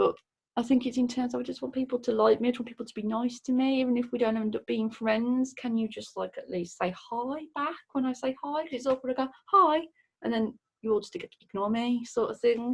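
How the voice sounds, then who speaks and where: A woman with a strong Midlands accent talks at a fairly quick pace in a high voice with ordinary pitch variation. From English Midlands, near Birmingham. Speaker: mental health worker. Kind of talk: recorded questionnaire answers. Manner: hesitant, many fillers.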